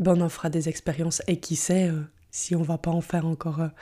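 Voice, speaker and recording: Set against a silent background in a very clean recording, a woman speaks at a moderate pace and a fairly low pitch. Her tone is dark and mellow, and her intonation is monotone and flat. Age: 30s. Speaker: podcast host, personal development coach. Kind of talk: solo podcast monologue. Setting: home recording at computer. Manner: halting.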